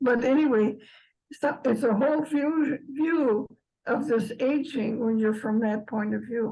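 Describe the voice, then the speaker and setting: A woman speaks at a high pitch in a dark, mellow tone. Her pace is fairly slow. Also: ordinary pitch variation. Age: 90s. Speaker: participant in eldering circle. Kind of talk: group discussion. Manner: halting.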